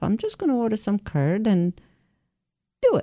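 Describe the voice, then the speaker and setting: A woman with an Italian accent speaks at a moderate pace in a dark, mellow tone. The recording is very clean, with a silent background. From southern Italy. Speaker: cheesemaker. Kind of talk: radio interview.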